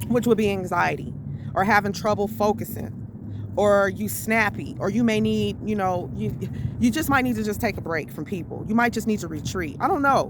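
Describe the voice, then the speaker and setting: Moderate pace over noticeable background noise. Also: woman. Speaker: network marketing coach. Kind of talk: motivational talk. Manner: loud.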